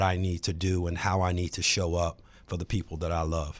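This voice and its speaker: A man with an American accent. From Virginia, Charlottesville. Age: 40s. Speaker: real estate agent and author. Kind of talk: casual chat.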